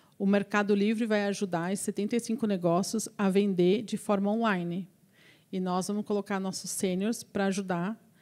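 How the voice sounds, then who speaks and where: This is a woman's voice at a medium pitch. She talks at a moderate pace. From Brazil, interior of São Paulo state (Avaré). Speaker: engineer and recruitment business owner, guest lecturer. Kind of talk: lecture Q&A with students. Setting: university lecture hall with students. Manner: animated.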